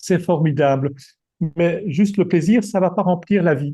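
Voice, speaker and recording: A man's dark, mellow, somewhat breathy voice at a fairly slow pace, with ordinary pitch variation and a quiet background. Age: 60s. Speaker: retired executive and coach. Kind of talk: presentation. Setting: video call. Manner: halting.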